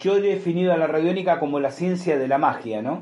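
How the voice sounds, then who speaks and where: Here a man is talking. He has a Rioplatense accent. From Argentina, Buenos Aires. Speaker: podcast host. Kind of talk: storytelling monologue. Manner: hesitant fillers and repetitions.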